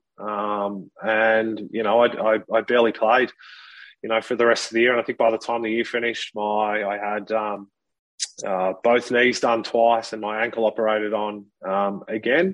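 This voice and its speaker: A man with an Australian accent talks at a moderate pace, his medium-pitched voice monotone and flat. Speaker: former professional footballer. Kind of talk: interview testimony. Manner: halting, many fillers.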